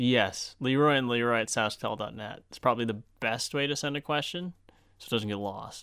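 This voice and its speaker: In a normal speaking voice, a man at medium pitch talks at a moderate pace with ordinary pitch variation. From Saskatchewan, Canada (Moose Jaw and farm). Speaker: video creator and podcast co-host, camera operator. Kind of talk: casual chat. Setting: behind the camera, eating an apple.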